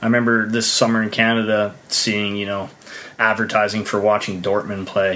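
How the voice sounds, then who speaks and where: Amid noticeable background noise, a man with a fairly low pitch speaks at a moderate pace. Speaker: podcast host. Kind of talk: casual interview with sponsor reads.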